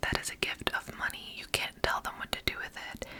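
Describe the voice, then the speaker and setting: Whispered words from a woman, noticeable background noise around them. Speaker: ASMR creator. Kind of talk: casual whispered talk to camera with commentary. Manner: whispered, soft-spoken.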